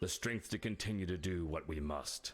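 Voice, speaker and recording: A man's raspy, put-on character voice, very deep and low in pitch, at a moderate pace with ordinary pitch variation and faint music in the background. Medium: video game. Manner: gloating, self-satisfied.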